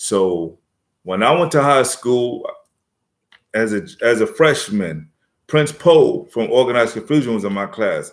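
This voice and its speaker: With a New York accent, a man speaks fairly slowly with lively intonation and long, frequent pauses. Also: medium pitch for a man. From New York City, South Bronx. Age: 50s. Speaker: rapper. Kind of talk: casual live-stream chat.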